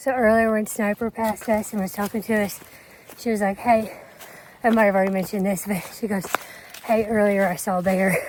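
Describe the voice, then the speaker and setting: Over noticeable background noise, a woman talks at a fairly quick pace in a monotone, flat intonation, with long, frequent pauses. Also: medium pitch for a woman. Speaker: long-distance hiker and vlogger. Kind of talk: casual vlog narration while hiking. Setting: outdoors on a mountain trail.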